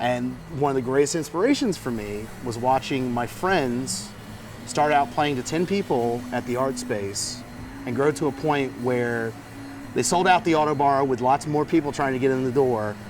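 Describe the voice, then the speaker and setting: A man speaks at a medium pitch with ordinary pitch variation. His pace is moderate, and background noise is noticeable. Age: 30s. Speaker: musician. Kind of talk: casual chat.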